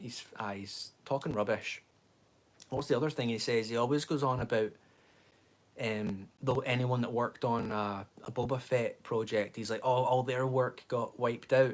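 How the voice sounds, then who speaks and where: Here a man speaks at medium pitch. His pace is moderate and his intonation fairly even. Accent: Scottish. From Scotland. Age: 20s. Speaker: livestreamer, fan channel host. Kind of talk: casual livestream chat. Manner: rambling, conversational.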